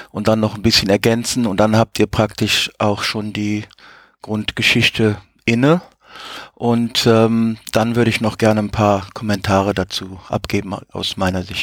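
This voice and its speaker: A man talks at a fairly slow pace in a fairly low, monotone voice with flat intonation, recorded very cleanly with a silent background and a dry, close sound with no echo. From Africa. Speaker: science fiction reader. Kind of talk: panel discussion.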